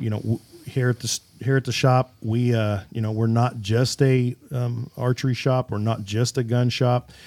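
With a Midwestern American accent, a man talks at a moderate pace and medium pitch. His intonation is monotone and flat, and the sound is dry and close with no echo. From Kansas. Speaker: podcast host and shop owner. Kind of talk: casual interview. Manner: halting, many fillers.

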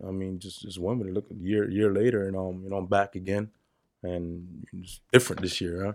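A man with a New York accent speaks at a moderate pace and a fairly low pitch. The recording is very clean, with a silent background. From New York, the Bronx. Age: 30s. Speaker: car parts business owner. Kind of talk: casual chat.

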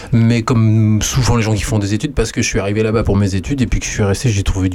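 Over noticeable background noise, a man with a fairly low pitch talks at a very fast pace with hardly any pauses, very even loudness and ordinary pitch variation. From western France, Poitou. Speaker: radio host and musician. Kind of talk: casual chat. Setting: studio.

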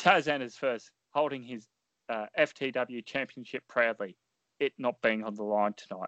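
A man with an ordinary speaking voice talks at a fairly slow pace and medium pitch, with ordinary pitch variation and big swings in loudness. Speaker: podcast co-host and fantasy wrestling booker. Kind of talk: casual chat and wrestling commentary-style play-by-play narration.

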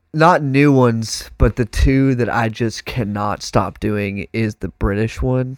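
Speaking with a Texan accent at a fairly slow pace, a man uses medium pitch with ordinary pitch variation and hardly any pauses, the sound dry and close with no echo. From Texas. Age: 20s. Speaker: professional drummer. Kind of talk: casual chat. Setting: studio. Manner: animated.

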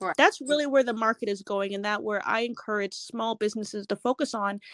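Over a quiet background, a woman with a Canadian accent and an unremarkable speaking voice talks at a fairly quick pace and fairly high pitch with ordinary pitch variation, in a dry, close sound with no echo. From Edmonton, Alberta, Canada. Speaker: retail business consultant. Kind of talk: interview.

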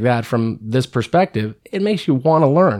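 A man's plain, everyday voice with an American accent at a moderate pace, on a very clean recording with a silent background. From San Francisco Bay Area, California. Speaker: garbage business worker, former radio intern. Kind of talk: casual chat.

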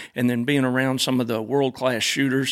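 Speaking with an Arkansas accent, a man talks at a fairly quick pace and a medium pitch. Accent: Arkansas Southern. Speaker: gun customizer. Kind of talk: casual interview. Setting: studio.

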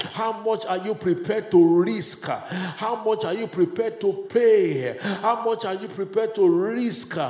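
A man speaks in a high register with a passionate tone and ordinary pitch variation. Noticeable background noise sits behind him. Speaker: church leader. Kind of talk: fervent prayer; exhortation/sermon. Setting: church gathering. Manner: fervent, passionate, emphatic; repetitive, exhorting.

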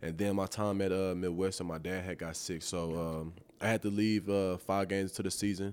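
A very deep, low-pitched man's voice with an American accent, fairly quick pace and monotone, flat intonation, in a very clean recording with a silent background. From East Texas (Tyler). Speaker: professional football player. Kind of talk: casual interview. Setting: stadium. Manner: halting, many fillers.

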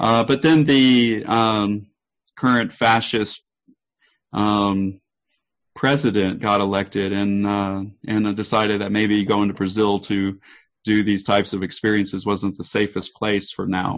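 At a fairly slow pace and with fairly even intonation, this is a plain, everyday voice. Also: man, fairly low pitch for a man. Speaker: researcher and event organizer. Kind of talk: casual interview chat. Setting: video call.

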